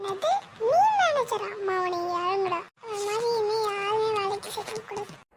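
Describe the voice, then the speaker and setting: A woman puts on a cartoonish character voice at an extremely high pitch. She delivers it at a fairly slow pace. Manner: boastful, threatening.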